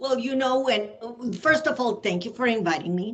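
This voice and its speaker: The speaker is a woman with a Spanish accent. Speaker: ESL teacher. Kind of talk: casual interview. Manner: hesitant fillers.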